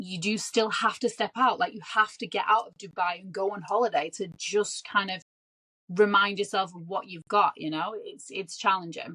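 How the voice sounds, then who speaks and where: A woman speaks at a medium pitch with a bright, sharp tone. Her pitch varies in an ordinary way at a moderate pace. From Manchester, northern England. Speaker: guest, luxury retail worker. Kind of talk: podcast interview.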